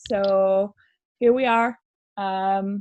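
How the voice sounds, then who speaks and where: This voice carries a French accent and ordinary pitch variation. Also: woman. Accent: French accent, noticeable. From France. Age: 30s. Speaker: radio show host, former youth worker. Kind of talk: casual podcast chat. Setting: remote recording.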